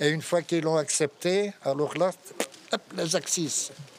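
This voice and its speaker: Very slow speech with fairly even intonation over noticeable background noise. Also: man. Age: 70s. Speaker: retired musician. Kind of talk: casual chat.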